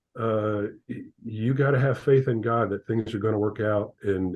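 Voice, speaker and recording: A man speaks in an ordinary speaking voice at a medium pitch. His intonation stays fairly even, and his pace is moderate. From Ohio, US Midwest. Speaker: accountant and father of athlete. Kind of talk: interview.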